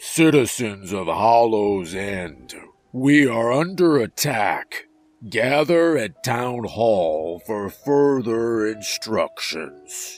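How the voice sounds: Over background music, a man in a put-on character voice speaks very slowly with lively intonation at a medium pitch.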